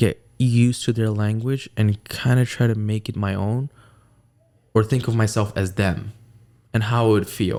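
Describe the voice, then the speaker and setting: A man with a Pakistani accent, a dark, mellow tone, fairly low pitch, ordinary pitch variation and a moderate pace. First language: Urdu. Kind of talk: casual chat.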